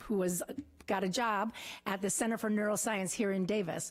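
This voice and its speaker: A woman speaks at a medium pitch with a slight Wisconsin accent. Her intonation stays fairly even, and her pace is fairly quick. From rural Wisconsin. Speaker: political candidate. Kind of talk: campaign speech. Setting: council chambers with audience.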